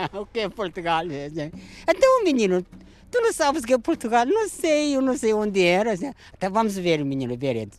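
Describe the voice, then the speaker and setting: The pace is moderate. Pitch swings very widely. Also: man, high pitch for a man. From South Korea. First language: Korean (speaking Portuguese). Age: 60s. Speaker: retired chick sexer. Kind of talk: interview. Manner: halting.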